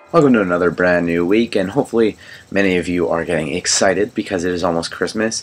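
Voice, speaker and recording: Over music in the background, a man talks very fast in a very deep, low voice with ordinary pitch variation. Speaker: movie reviewer. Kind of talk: casual review vlog. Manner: halting, many fillers.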